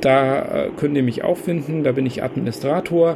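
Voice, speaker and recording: Amid noticeable background noise, a man speaks at a fairly slow pace in a fairly high pitch with ordinary pitch variation. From Bavaria, Kempten im Allgäu. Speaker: podcast host, hobby photographer. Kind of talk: casual chat.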